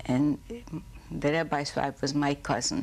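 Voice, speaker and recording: A woman with a Hungarian accent at a very slow pace. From Hungary. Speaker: Holocaust survivor. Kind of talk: oral history interview.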